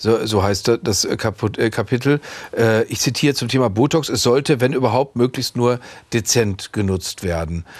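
A man speaks in a normal speaking voice at a moderate pace, with medium pitch and ordinary pitch variation. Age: 50s. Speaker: TV interviewer. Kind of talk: interview.

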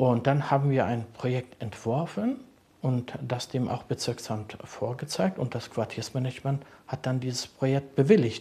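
A man speaks in a calm, dark, mellow tone, somewhat breathy, at a moderate pace with ordinary pitch variation. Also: medium pitch for a man. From Berlin-Kreuzberg. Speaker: social worker. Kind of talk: interview.

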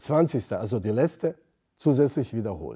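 A man's voice, dark and mellow in tone, moves at a very slow pace. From Bosnia. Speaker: theology lecturer, former imam. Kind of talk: interview.

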